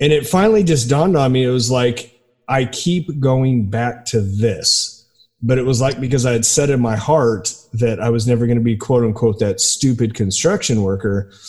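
With music in the background, a man talks at very even loudness. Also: medium pitch for a man, ordinary pitch variation, moderate pace. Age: 40s. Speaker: podcast host. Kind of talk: interview conversation.

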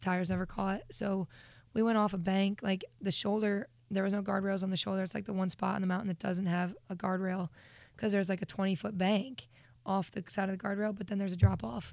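Talking very fast, a woman keeps a medium pitch and fairly even intonation. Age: 20s. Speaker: singer-songwriter. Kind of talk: casual chat. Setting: studio.

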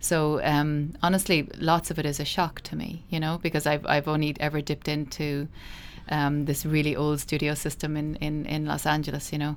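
In a Cork accent, a woman with a very deep, low pitch speaks at a moderate pace in a monotone, flat intonation. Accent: Cork Irish. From Ireland, Midleton, County Cork. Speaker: animation film director. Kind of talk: interview. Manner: halting.

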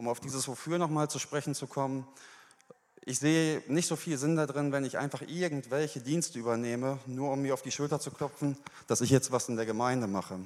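The speech moves at a fairly quick pace with fairly even intonation. It is a normal speaking voice. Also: man, fairly high pitch for a man. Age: 20s. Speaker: church member giving testimony. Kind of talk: sermon testimony. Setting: church stage.

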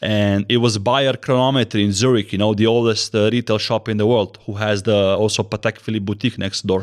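A man's fairly low voice with a Slovenian accent, monotone and flat in intonation, at a fairly quick pace. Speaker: watch content creator. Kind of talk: casual chat.

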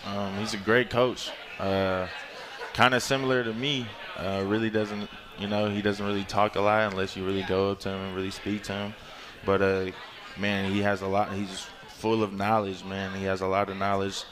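A man with an American accent, fairly low pitch and a monotone, flat intonation, over noticeable background noise. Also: moderate pace. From Northern California, Concord. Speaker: college football player. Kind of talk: radio interview. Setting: live venue broadcast.

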